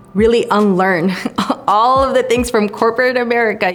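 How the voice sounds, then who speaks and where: Music plays in the background as a woman talks. She has a Spanish accent and a moderate pace. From Southern California, San Fernando Valley (born in Bolivia). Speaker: tech nonprofit executive. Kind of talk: personal testimony interview.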